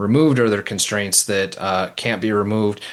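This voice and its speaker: A man's fairly low-pitched voice with a slight Minnesota accent. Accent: slight Midwestern (Minnesota). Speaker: nurse practitioner, researcher. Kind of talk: interview conversation. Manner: hesitant, many fillers.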